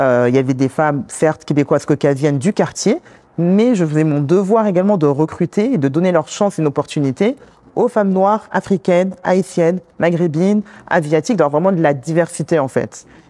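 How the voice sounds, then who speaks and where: The voice has a dark, mellow tone, lively intonation and very even loudness. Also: woman, fairly low pitch for a woman, fairly quick pace, dry, close sound with no echo. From France, Congolese background. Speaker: community worker, immigrant woman. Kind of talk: interview conversation. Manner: hesitant, many fillers.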